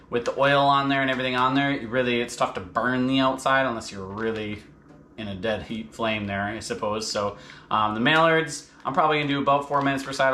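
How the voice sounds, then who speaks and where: A man with a medium-pitched voice talks at a very fast pace with ordinary pitch variation and audible room echo. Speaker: outdoor cooking channel host. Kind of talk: cooking tutorial. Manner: casual, hesitant with fillers.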